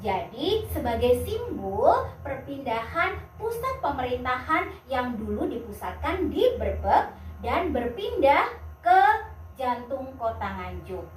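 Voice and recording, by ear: A woman's put-on character voice, high-pitched and slow, with big pitch swings and audible room echo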